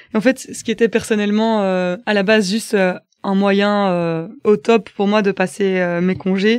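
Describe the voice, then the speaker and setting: In a quiet background, a woman talks at medium pitch. Her intonation is fairly even. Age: 20s. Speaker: volunteer. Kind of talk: personal testimony. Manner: hesitant, many filler sounds.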